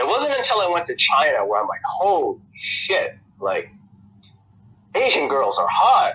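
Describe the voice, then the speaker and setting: A man with an American accent talks at a fairly slow pace, leaving long, frequent pauses. Noticeable background noise is present. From United States. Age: young. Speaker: podcast guest, expat. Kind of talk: casual interview chat.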